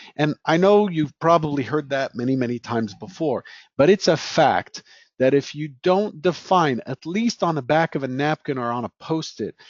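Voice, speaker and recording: A man speaks in a plain, everyday voice at a fairly high pitch. His pace is moderate and his intonation lively. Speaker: trading educator. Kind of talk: Q&A session.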